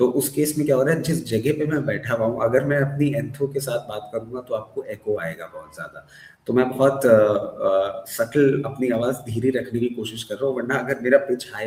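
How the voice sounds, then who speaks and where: Over noticeable background noise, a man speaks at a medium pitch and a moderate pace with hardly any pauses. His intonation is fairly even, but his loudness swings widely. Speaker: stock market analyst. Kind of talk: interview. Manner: soft-spoken; code-switching Hindi-English. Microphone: echoey room.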